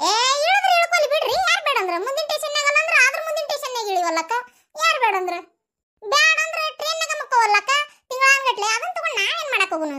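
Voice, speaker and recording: A woman's cartoonish character voice at an extremely high pitch, with very wide pitch swings and a moderate pace. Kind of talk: comic overacting. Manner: bossy, theatrical.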